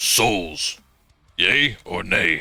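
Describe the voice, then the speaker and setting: A man puts on a robotic, raspy character voice. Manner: demanding, robotic.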